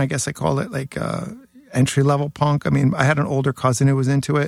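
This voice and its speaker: In a New York accent, a man speaks fairly quickly at a fairly high pitch, with a dry, close sound and no echo. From New York City (Queens). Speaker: hardcore bassist. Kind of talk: casual chat.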